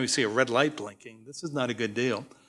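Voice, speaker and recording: The recording is very clean, with a silent background. A man talks at a very fast pace in a bright, sharp tone. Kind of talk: conference talk. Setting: stage with audience.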